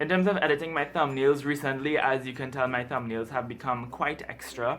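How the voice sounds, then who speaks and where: Music plays in the background. The speech moves at a fairly quick pace with ordinary pitch variation. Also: man. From Trinidad. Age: 20s. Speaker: book YouTuber. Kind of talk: casual talk to camera.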